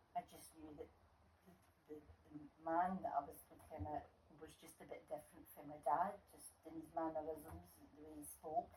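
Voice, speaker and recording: A woman with a Scottish accent at a very deep, low pitch, moderate pace with long, frequent pauses, fairly even intonation and big swings in loudness. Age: 70s. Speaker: grandmother, former nurse. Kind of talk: interview.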